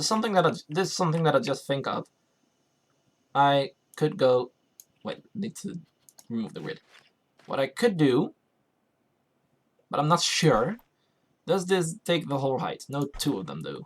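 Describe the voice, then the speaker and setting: A man speaks at a moderate pace in a fairly high pitch with lively intonation, leaving long, frequent pauses. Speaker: gaming YouTuber. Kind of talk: let's play commentary. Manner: halting, many fillers and restarts.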